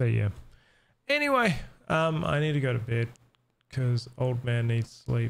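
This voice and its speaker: A man with a New Zealand accent, medium pitch, ordinary pitch variation, very even loudness, moderate pace and long, frequent pauses. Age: 30s. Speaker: gaming streamer. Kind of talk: casual chat. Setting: home live stream.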